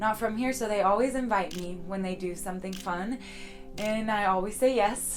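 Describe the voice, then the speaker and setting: A woman speaks with audible room echo. Music plays in the background. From United States. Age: 20s. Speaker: volleyball player. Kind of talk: documentary interview. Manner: casual, with frequent fillers.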